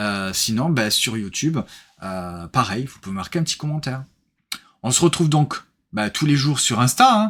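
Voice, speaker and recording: A man's medium-pitched voice with very wide pitch swings and long, frequent pauses. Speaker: board game reviewer and streamer. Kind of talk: casual live-stream recap chat. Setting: live stream with co-host. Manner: fast.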